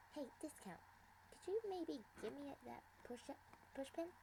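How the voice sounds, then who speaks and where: A put-on character voice, female-sounding and high-pitched, in a bubbly, playful tone at a moderate pace with clear background noise. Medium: read story.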